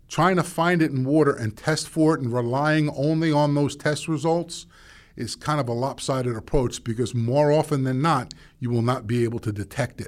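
A man with a normal speaking voice talks at a moderate pace, fairly high in pitch with ordinary pitch variation, in a very clean recording with a silent background. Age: 50s. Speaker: water treatment manager. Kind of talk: interview. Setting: studio.

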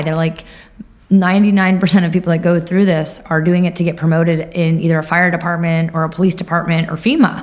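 In an American accent, a woman talks at a very fast pace and fairly low pitch. Audible room echo surrounds her voice. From US Northeast, Long Island, New York. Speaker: cybersecurity professional, Air Force veteran. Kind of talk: interview. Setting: live at a conference.

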